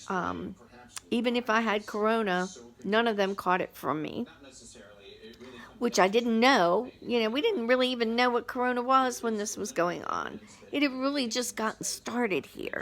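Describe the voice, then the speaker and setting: With a normal speaking voice, a woman talks at a moderate pace and a fairly high pitch. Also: ordinary pitch variation. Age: 60s. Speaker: vlogger. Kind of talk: personal testimony. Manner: casual, conversational.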